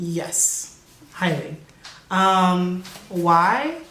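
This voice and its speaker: A woman's fairly low voice comes through noticeable background noise and audible room echo. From Kansas. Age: 20s. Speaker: college student. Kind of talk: interview. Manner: casual, hesitant.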